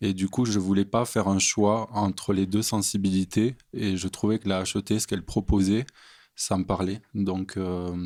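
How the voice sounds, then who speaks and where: A man speaks at a fairly slow pace with monotone, flat intonation. The recording is very clean, with a silent background. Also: fairly low pitch for a man. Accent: slight southern French. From southern France, near Montpellier. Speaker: theology student. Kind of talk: podcast interview.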